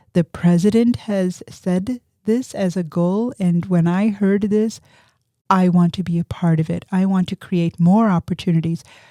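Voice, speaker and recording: At a fairly slow pace, a woman speaks at medium pitch in a dark, mellow tone with fairly even intonation. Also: dry, close sound with no echo. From immigrant to US at age five. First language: not English. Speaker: physics professor. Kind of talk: interview.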